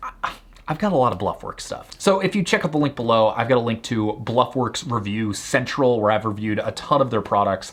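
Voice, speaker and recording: Over noticeable background noise, a man speaks at a fairly quick pace in an animated tone. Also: medium pitch for a man, lively intonation. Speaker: online business founder and YouTuber. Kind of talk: product recommendation video. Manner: fast.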